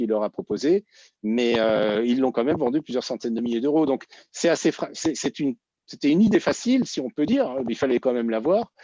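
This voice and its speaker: A man talks at a fairly quick pace in a dark, mellow tone. The sound is dry and close with no echo, over a quiet background. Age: 60s. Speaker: entrepreneur and former startup incubator director. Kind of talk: conference panel Q&A. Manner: hesitant, many fillers and repetitions.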